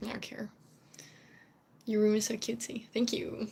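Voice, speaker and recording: A woman talks at a fairly quick pace with a Dutch accent. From Netherlands. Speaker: streamer, cosplayer. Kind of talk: casual live stream chat. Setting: home live stream. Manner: rambling, chatty with fillers.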